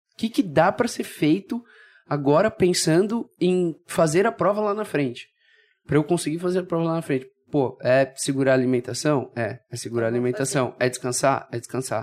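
An ordinary speaking voice belongs to a man with a fairly high pitch and lively intonation, moving at a moderate pace. The recording is very clean, with a silent background. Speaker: triathlete. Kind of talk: casual chat.

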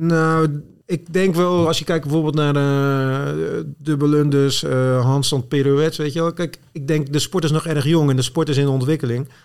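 At a moderate pace, a man with a fairly high voice speaks with fairly even intonation. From Netherlands, Zwijndrecht (South Holland). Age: 40s. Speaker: CrossFit athlete and competition programmer.

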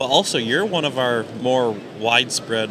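A man's speech moves at a medium rate, set against clearly audible background noise. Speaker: podcast host. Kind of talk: casual interview chat. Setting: live at ice show.

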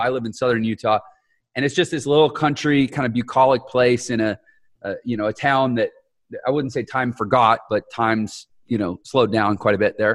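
A normal speaking voice from a man at medium pitch, fairly quick in pace, with a dry, close sound and no echo. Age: 40s. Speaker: podcast host. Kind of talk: casual interview chat.

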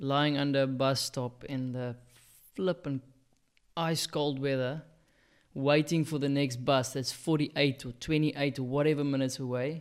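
With a South African accent, a man speaks at a moderate pace in a fairly high pitch for a man, his intonation flat and monotone, on a very clean recording with a silent background. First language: Afrikaans. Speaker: podcast co-host. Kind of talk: casual chat. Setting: studio.

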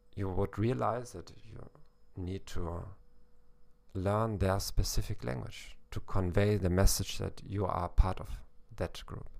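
A man speaks with a German accent at a fairly low pitch. His pace is fairly slow, with long, frequent pauses. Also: ordinary pitch variation, big swings in loudness. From Germany, Hamburg. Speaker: German teacher and podcast host. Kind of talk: educational monologue. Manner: hesitant, with fillers.

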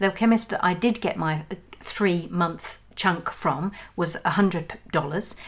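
An unremarkable speaking voice from a woman, medium in pitch, with ordinary pitch variation. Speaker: podcast host. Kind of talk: casual chat.

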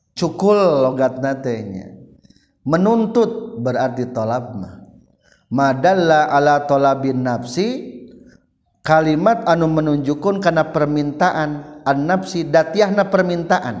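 In a room with audible echo, a man with a West Javanese accent speaks very slowly at a fairly high pitch with very wide pitch swings. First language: Sundanese (speaking Indonesian). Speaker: Islamic religious teacher. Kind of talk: lecture.

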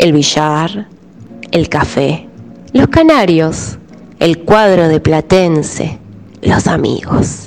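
Speaking with a Rioplatense accent, a woman has a fairly low pitch, lively intonation and very even loudness. She goes at a very slow pace with long, frequent pauses, music playing in the background. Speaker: radio tango columnist. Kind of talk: radio narration.

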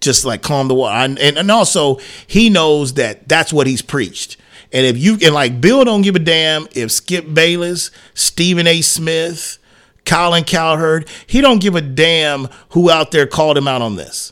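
Using a plain, everyday voice, a man speaks at a fairly slow pace with a fairly high pitch and lively intonation. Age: 40s. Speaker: sports radio host. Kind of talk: casual chat.

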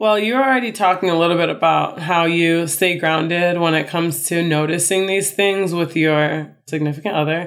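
In a normal speaking voice, a woman with an American accent talks at a moderate pace with hardly any pauses. Her fairly low pitch has ordinary variation, and her loudness is very even. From Chicago, US Midwest. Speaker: podcast co-host. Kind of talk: casual chat.

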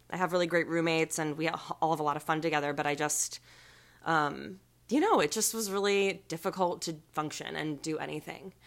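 On a very clean recording with a silent background, a woman with a normal speaking voice talks in a fairly low pitch with fairly even intonation. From US, Maryland. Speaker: podcast guest living with depression. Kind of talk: casual chat.

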